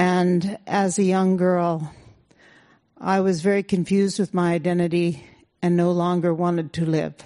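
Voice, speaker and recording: A woman with an American accent speaks at a moderate pace in a dark, mellow tone at a fairly low pitch, with monotone, flat intonation. Her loudness stays very even against a quiet background. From California. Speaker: protest veteran and former radio public service director. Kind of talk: personal testimony to an audience. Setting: stage with audience.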